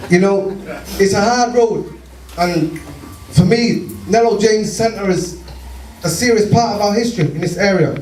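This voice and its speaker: A man with a high pitch speaks at a moderate pace, leaving long, frequent pauses. Audible room echo and noticeable background noise surround him. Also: ordinary pitch variation. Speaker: community campaigner. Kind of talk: speech to community meeting. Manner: animated.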